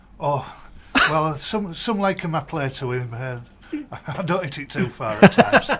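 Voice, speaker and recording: A man with a Yorkshire accent speaks at a moderate pace in a fairly high voice, with lively intonation and big swings in loudness. Long pauses come often, and background noise is noticeable. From northern England, Yorkshire. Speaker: cricket tournament media man. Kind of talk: radio interview. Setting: radio studio.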